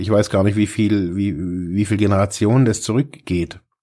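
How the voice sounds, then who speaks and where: In a very clean recording with a silent background, a man with a fairly low pitch and a dark, mellow tone talks at a moderate pace. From German-speaking region, small village. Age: 40s. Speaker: social worker and podcast host. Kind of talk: solo podcast monologue. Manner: halting, many fillers and repetitions.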